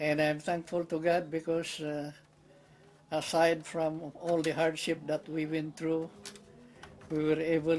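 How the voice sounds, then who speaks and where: In a Filipino accent, a man speaks at a fairly slow pace with a fairly high pitch and monotone, flat intonation. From Philippines. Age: 80s+. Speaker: war veteran. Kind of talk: interview. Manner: halting.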